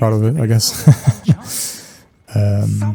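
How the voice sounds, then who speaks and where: Music plays in the background as a man talks at a fairly slow pace with a fairly low pitch. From Denmark. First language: Danish. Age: 20s. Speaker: gaming and fan-theory youtuber. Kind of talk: casual chat while gaming. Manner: hesitant, many fillers.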